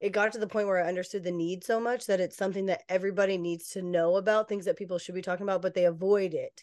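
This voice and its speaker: Over a quiet background, an American woman with an American accent speaks very fast at a medium pitch, in a monotone, flat intonation. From Western Washington, US. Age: 30s. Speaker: real estate agent and lender. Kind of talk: casual interview chat.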